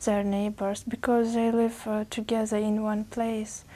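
A woman speaks in a fairly high, somewhat breathy voice with a dark, mellow tone. Her intonation stays monotone and flat. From Uzbekistan. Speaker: language test candidate. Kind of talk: speaking exam interview. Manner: halting, many fillers.

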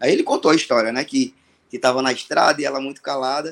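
A man talking at a fairly quick pace. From Ceará, Brazil (Fortaleza). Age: 40s. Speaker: songwriter. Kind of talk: storytelling interview.

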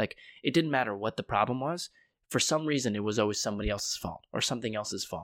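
A man with an American accent talks at a very fast pace with lively intonation and medium pitch. The sound is dry and close with no echo, in a very clean recording with a silent background. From Connecticut, US. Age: 20s. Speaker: life coach and podcaster. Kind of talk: casual interview.

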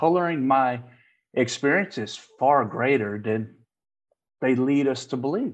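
Speaking at a fairly slow pace, a man with fairly high pitch uses lively intonation. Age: 40s. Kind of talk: casual chat. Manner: animated.

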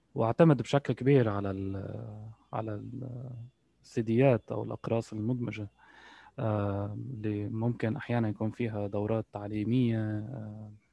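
With a Lebanese accent, a man speaks at a moderate pace, fairly low in pitch, with fairly even intonation. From Lebanon. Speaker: translator and interpreter. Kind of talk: casual interview. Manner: halting, many fillers.

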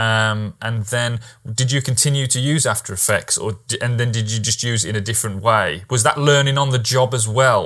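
With a British accent, a man talks at a moderate pace, at medium pitch with ordinary pitch variation. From Britain. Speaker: podcast host. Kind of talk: casual interview. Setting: video call.

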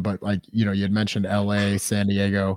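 A man speaks at a fairly quick pace with a fairly low pitch. He has an unremarkable speaking voice. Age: 30s. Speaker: podcast co-host, soldier. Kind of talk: casual chat.

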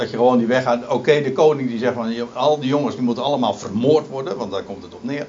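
A man at a very fast pace with hardly any pauses, fairly even intonation and big swings in loudness. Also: medium pitch for a man. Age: 50s. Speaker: preacher. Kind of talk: sermon. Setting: church. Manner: halting.

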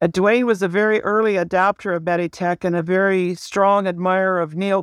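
The recording is very clean, with a silent background and a dry, close sound with no echo. A woman speaks at a medium pitch with a Canadian accent and monotone, flat intonation. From Ontario, Canada. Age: 80s+. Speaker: retired nurse. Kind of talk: interview.

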